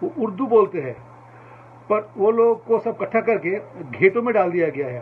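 A man's voice with very wide pitch swings over light background noise. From India. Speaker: viewer asking a question; commentator. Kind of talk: recorded question. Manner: halting. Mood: earnest, appealing. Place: home room. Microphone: webcam.

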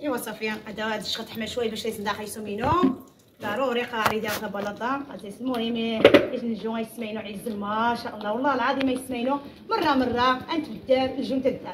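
A woman's fairly high voice at a fairly quick pace with hardly any pauses and fairly even intonation, over loud background noise. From Morocco. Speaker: cooking vlogger. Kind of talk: casual vlog chat while cooking.

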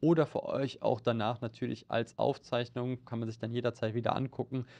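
This man talks at a moderate pace in a monotone, flat intonation. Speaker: stock market analyst. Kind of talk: market update discussion. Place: studio.

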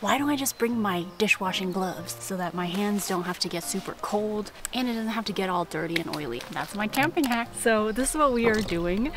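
A woman talks at a fairly quick pace with hardly any pauses, her voice dry and free of echo over clear background music. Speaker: vlogger. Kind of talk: casual vlog chat. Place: forest.

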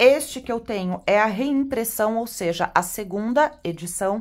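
A woman speaks at a very slow pace with medium pitch and ordinary pitch variation. The recording is very clean, with a silent background. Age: 30s. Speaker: tarot reader and teacher. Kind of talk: product unboxing video. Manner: animated.

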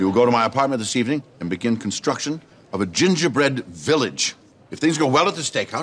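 A man talks at a very fast pace with vocal fry. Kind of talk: scripted sitcom dialogue. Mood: commanding, plotting tone. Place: bar.

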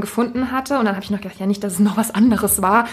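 A woman speaks in a fairly high, somewhat breathy voice with fairly even intonation. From Germany, small town. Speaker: podcast host. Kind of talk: casual chat.

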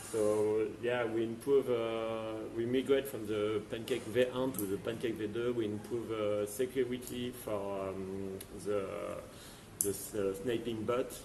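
Over noticeable background noise, a man speaks at a very slow pace in a monotone, flat intonation. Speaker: company CEO. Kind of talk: interview. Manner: halting, repeats words. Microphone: video call.

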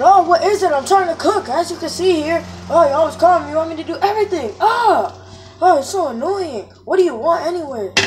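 An extremely high-pitched cartoonish character voice at a fairly quick pace, with hardly any pauses and clear background noise. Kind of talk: comic plush-puppet sketch acting. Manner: annoyed, complaining, boastful.

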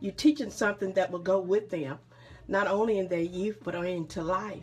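A woman speaks at a moderate pace with a medium pitch. Her pitch varies in an ordinary way. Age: 60s. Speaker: mother. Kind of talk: casual family conversation. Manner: encouraging. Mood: warm, proud, encouraging. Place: home room. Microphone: phone near.

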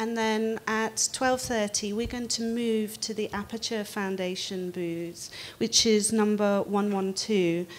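A woman is speaking. Her intonation stays monotone and flat. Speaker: panel moderator. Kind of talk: panel introduction. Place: hall.

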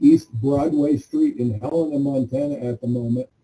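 Somewhat breathy and dark and mellow in tone, a man with an American accent speaks at a fairly high pitch with fairly even intonation. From Arizona. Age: 60s. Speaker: public commenter, nonprofit board member. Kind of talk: public comment. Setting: video call.

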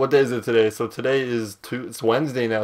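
In a flat monotone, a man talks at a fairly quick pace. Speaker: gaming YouTuber. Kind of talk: casual gameplay commentary. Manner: louder than usual; rambling, halting.

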